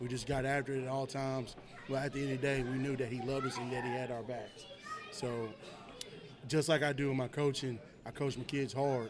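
A man with a Tennessee accent talks very fast at a medium pitch, in a flat monotone broken by long, frequent pauses. The room echoes audibly, and there is noticeable background noise. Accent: Southern US (Tennessee). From Tennessee (Murfreesboro). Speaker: high school football coach. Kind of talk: casual interview.

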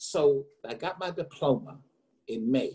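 A man with an American accent speaks at a fairly high pitch. His voice is somewhat breathy and his pace very slow. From US South, eastern North Carolina. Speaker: business consultant. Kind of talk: interview.

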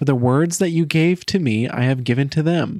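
This man has a plain, everyday voice, fairly high in pitch, with lively intonation at a fairly slow pace on a very clean recording with a silent background. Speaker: podcast host. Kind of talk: podcast intro and conversation.

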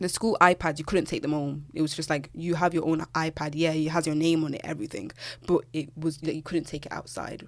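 Speaking at a fairly quick pace, a woman with a British accent uses a very deep, low pitch. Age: 20s. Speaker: podcast host and university student. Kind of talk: casual solo chat. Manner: animated.

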